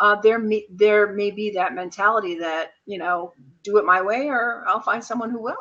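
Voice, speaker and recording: At a moderate speed and medium pitch, a woman talks in an ordinary speaking voice. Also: ordinary pitch variation. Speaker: co-host of a business video chat. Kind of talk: casual discussion.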